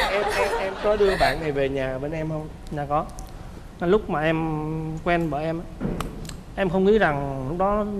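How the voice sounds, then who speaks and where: Noticeable noise in the background behind a male speaker, his pitch varying in an ordinary way. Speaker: talk show guest, groom. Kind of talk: casual chat. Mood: somber, recalling father's death. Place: studio. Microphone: lapel.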